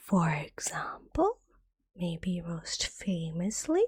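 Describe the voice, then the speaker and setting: The speaker is soft-spoken and goes at a very slow pace. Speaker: ASMR vtuber. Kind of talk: ASMR educational lesson.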